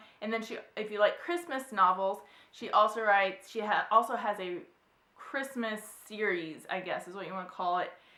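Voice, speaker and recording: Noticeable background noise sits behind a woman talking at a moderate pace with a fairly high pitch. Her pitch varies in an ordinary way, while her loudness swings widely. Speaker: book vlogger. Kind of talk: casual chat. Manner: chatty.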